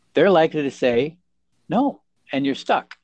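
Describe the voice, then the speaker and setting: Over a quiet background, a man with an unremarkable speaking voice and fairly high pitch talks at a moderate pace with ordinary pitch variation. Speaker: lawyer podcast co-host. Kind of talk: casual professional discussion.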